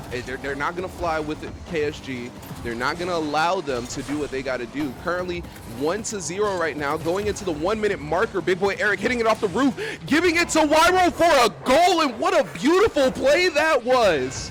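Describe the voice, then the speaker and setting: A man talks loudly in an excited, animated tone at a high pitch, with very wide pitch swings and a fairly quick pace. Noticeable background noise runs behind him. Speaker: esports caster. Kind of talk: live commentary. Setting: voice chat stream. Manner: loud, excited. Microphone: mic cutting out, noise suppression.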